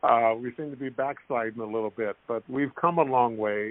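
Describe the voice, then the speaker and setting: Using an ordinary speaking voice, a man speaks at a moderate pace in a medium pitch with fairly even intonation. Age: 60s. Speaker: former basketball player. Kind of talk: interview.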